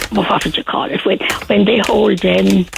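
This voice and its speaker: There is noticeable background noise as a woman with a Cork accent speaks at a fairly slow pace. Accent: Cork Irish. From Ireland, Cork. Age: 80s+. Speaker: radio interviewee. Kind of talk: casual chat. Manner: halting.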